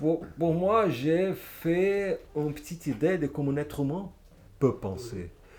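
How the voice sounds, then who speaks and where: A man speaks in a Portuguese accent. His voice is somewhat breathy. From Brazil, Niterói. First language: Portuguese (speaking French). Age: 50s. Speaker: comic book author. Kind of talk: public interview at a bookshop. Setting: bookshop event with audience. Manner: halting, searching for words.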